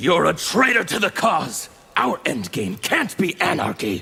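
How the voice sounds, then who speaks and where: A man's high-pitched, put-on character voice at a moderate pace. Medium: video game. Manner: fervent, preachy.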